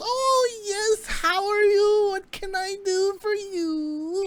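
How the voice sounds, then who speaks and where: Putting on a squeaky character voice, a man speaks at an extremely high pitch and a very slow pace. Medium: actual play. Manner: rambling, scatterbrained.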